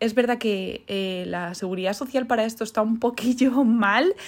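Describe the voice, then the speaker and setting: A woman speaks at a fairly high pitch and a moderate pace. Her pitch variation is ordinary. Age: 30s. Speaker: podcaster and social media creator. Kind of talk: personal monologue. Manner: hesitant, many fillers.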